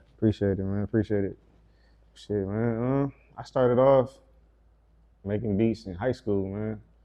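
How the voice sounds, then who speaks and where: With a Detroit accent, a man speaks at a moderate pace in a fairly low, dark, mellow voice, his intonation fairly even and broken by long, frequent pauses. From Detroit, Michigan. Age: 30s. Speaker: music producer. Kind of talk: casual interview.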